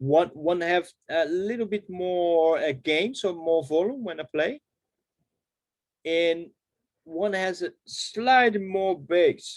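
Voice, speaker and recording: A man speaks with a Portuguese accent at a high pitch. His pitch varies in an ordinary way, and the sound is dry and close with no echo. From Brazil. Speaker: harmonica player. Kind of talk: workshop Q&A. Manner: halting.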